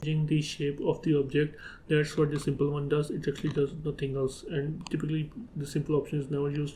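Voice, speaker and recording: Speaking very fast with a non-native accent, a man uses a fairly high pitch. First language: not English. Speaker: 3D software tutorial creator. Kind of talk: tutorial. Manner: halting, with fillers.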